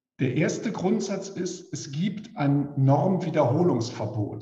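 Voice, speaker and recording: Speaking at a fairly slow pace, a man with a fairly high voice uses lively intonation, with audible room echo and music playing in the background. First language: German. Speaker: legal expert. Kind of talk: expert panel talk. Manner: measured, with pauses for interpretation.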